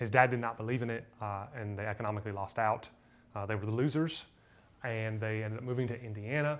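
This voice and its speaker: With audible room echo around him, a man talks at a very fast pace in a medium pitch, his intonation fairly even. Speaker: history teacher. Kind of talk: lecture. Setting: retreat talk with live audience. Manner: casual, filler-heavy.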